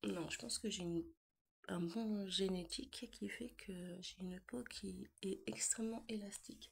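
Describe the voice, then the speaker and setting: A woman's voice with vocal fry. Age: 40s. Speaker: vlogger. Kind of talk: casual chat. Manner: relaxed.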